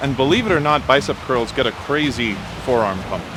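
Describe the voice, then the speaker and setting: With lively intonation, a man talks at a moderate pace against noticeable background noise. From Greece, Athens. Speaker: fitness vlogger. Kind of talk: casual Q&A chat.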